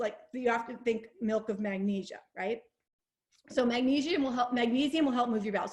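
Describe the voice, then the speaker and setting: At a fairly quick pace, a woman talks with a fairly high pitch and ordinary pitch variation. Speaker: naturopathic doctor. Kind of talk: webinar presentation. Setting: online webinar. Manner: loud; fast.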